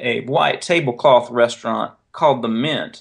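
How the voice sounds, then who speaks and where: The speaker is a man with a Southern US accent. He talks at a fairly slow pace against a quiet background. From North Carolina. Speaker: author and editor. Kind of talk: interview.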